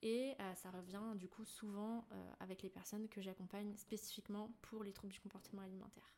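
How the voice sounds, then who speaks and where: Monotone, flat intonation from a somewhat breathy woman at a medium pitch and moderate pace. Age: 20s. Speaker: naturopath. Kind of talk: casual chat.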